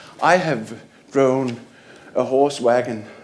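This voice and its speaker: Room echo can be heard clearly around this man's voice. Background noise is noticeable too. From Denmark. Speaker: library manager. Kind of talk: conference presentation. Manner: halting, many fillers.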